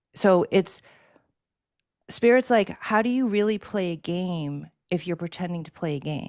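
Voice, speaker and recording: A woman with an American accent speaks at a fairly slow pace with medium pitch, ordinary pitch variation and long, frequent pauses, on a very clean recording with a silent background. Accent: Boston accent, slips out. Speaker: spiritual energy healer. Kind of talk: conversational panel talk.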